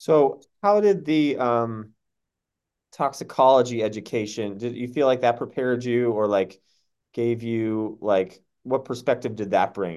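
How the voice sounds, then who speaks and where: In an unremarkable speaking voice with an American accent, a man talks fairly slowly at a medium pitch with ordinary pitch variation against a quiet background. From Massachusetts. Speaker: podcast host, doctor. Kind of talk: interview.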